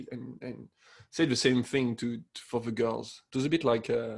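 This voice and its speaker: A man's medium-pitched voice with a French accent and fairly even intonation. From France. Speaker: podcast co-host. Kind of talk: casual chat.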